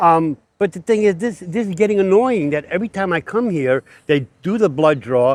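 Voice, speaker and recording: Loud and animated, a man talks at a fairly quick pace in a high pitch. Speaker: vlogger and cancer patient. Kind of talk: casual vlog monologue.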